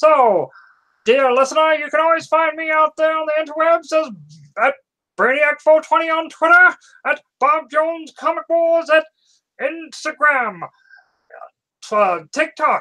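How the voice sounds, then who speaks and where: In a put-on character voice, the speaker talks at a high pitch and a fairly slow pace, leaving long, frequent pauses. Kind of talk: formal announcer.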